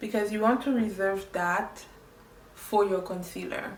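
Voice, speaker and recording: Speech with a French accent comes at a fairly slow pace with ordinary pitch variation. There is noticeable background noise and audible room echo. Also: woman. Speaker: makeup tutorial creator. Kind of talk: tutorial. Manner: animated.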